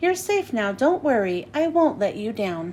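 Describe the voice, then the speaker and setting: Using a put-on character voice, a woman talks at a moderate pace and a high pitch with very wide pitch swings, over clear background noise. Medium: read story.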